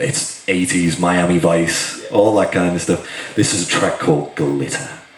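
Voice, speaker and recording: Very deep and low in pitch, a man speaks in a Liverpool accent at a fairly slow pace. Noticeable background noise and audible room echo are present. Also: ordinary pitch variation. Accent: Liverpool (Scouse). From northern England, Liverpool. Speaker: guitarist. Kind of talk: talk to a workshop audience.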